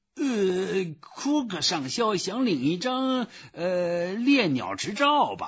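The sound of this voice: Putting on a character voice, a man speaks slowly in a high pitch with a fairly bright tone and very wide pitch swings.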